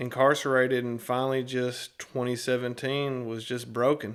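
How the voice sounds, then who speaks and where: A man is speaking with a Southern US accent. His pitch is medium. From US South, Tennessee (Nashville area). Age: 30s. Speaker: former inmate in a recovery ministry. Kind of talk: testimony. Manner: casual with hesitations.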